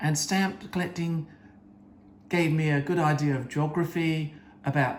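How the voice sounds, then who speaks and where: A man with a British accent speaks at a fairly slow pace in a fairly high voice. His intonation stays fairly even. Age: 70s. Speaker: coin collector. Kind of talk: show-and-tell talk. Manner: halting.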